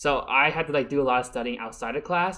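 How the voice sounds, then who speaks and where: A man with lively intonation, a very fast pace and fairly high pitch. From born in a Mandarin-speaking country, raised English-speaking. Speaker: college student vlogger. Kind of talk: casual vlog monologue. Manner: halting, many fillers and restarts.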